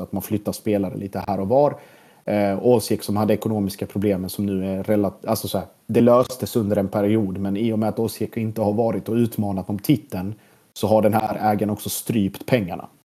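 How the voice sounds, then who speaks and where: A man speaks at a fairly quick pace in a fairly low, dark, mellow voice. His intonation stays monotone and flat. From southern Sweden, Blekinge (Sölvesborg). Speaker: football journalist and podcaster. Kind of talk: casual interview. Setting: apartment.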